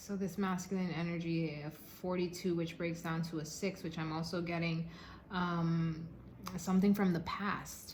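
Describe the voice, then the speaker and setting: A woman's somewhat breathy, monotone voice with flat intonation, fairly low pitch and a fairly slow pace, in audible room echo. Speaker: tarot card reader. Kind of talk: tarot reading monologue. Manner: halting, stuttering at times.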